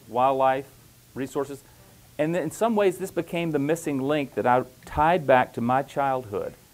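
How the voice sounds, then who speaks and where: In a Louisiana accent, a man talks at a fairly high pitch with ordinary pitch variation. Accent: Southern US (Louisiana). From US South, Louisiana. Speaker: professor. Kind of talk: conference presentation.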